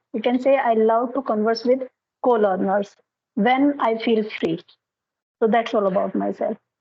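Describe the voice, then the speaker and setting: In an Indian accent, a woman speaks at a fairly high pitch with fairly even intonation. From India, Haryana. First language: Hindi. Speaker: English tutor. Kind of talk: casual conversation practice, giving advice.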